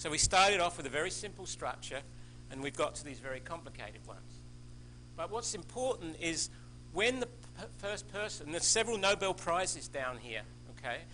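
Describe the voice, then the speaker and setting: Talking at a fairly quick pace, a man speaks in an Australian accent. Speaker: scientist, invited speaker. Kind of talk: lecture. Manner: halting, many false starts.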